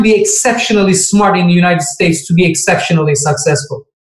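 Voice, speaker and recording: With a Turkish accent, a man speaks using lively intonation. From Turkey. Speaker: finance professor. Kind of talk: Q&A talk on careers.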